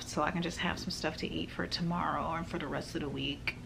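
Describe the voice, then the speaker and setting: A woman talks at a fairly low pitch. Noticeable background noise is present. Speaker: vlogger. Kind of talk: casual vlog chat. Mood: anxious, overwhelmed, emotional. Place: home room. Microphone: phone near.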